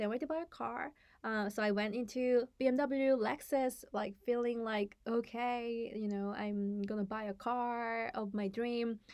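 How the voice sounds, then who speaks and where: A woman's fairly high voice in a Korean accent, moderate in pace with hardly any pauses and fairly even intonation. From South Korea, Seoul; US from age eleven. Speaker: startup founder and CEO. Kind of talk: personal story to camera. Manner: hesitant, many fillers and self-corrections.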